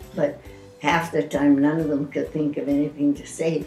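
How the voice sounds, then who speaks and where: Over music in the background, a woman speaks in a very deep, low pitch with fairly even intonation. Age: 80s+. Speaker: retired teacher. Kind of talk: interview answer.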